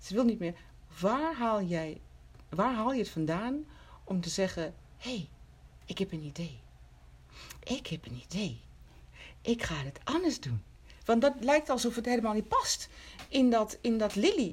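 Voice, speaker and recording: With vocal fry and very wide pitch swings, a woman speaks at a fairly slow pace with long, frequent pauses. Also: fairly high pitch for a woman. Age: 50s. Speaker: podcast host. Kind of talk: interview.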